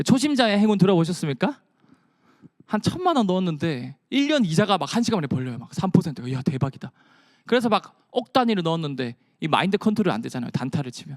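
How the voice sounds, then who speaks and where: Recorded with a dry, close sound and no echo, a man with a slight Busan accent speaks at a very fast pace in an animated tone, his high pitch making very wide swings. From Busan, South Korea. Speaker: science communicator. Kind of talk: lecture.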